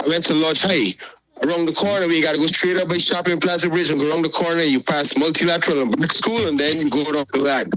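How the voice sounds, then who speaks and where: In a Guyanese accent, the speaker goes at a very fast pace with very even loudness and ordinary pitch variation, over noticeable background noise. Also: man, fairly high pitch for a man. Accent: Guyanese Creole English. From Guyana (Georgetown area). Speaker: caller. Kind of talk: call-in opinion talk.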